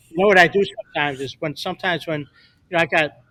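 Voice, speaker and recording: A man's fairly high voice with a bright, sharp tone, on a very clean recording with a silent background. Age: 60s. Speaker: photographer. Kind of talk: casual chat.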